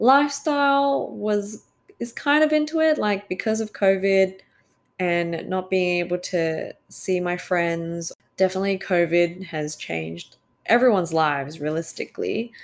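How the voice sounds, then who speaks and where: A woman speaks at a fairly slow pace in an Australian accent, her medium pitch swinging very widely. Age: 20s. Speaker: podcast host. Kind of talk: casual solo monologue. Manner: hesitant with fillers.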